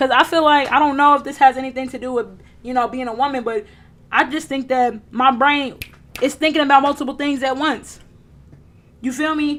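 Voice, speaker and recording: Loud and with a high pitch, a woman speaks at a fairly quick pace broken by long, frequent pauses. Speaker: livestreamer, self-help talk. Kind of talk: casual live stream monologue. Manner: animated.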